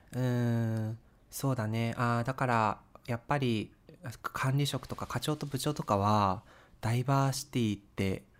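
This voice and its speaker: An ordinary speaking voice with fairly even intonation at a fairly slow pace, in a very clean recording with a silent background. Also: man, medium pitch for a man. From Japan, Sapporo (Hokkaido). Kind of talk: casual chat.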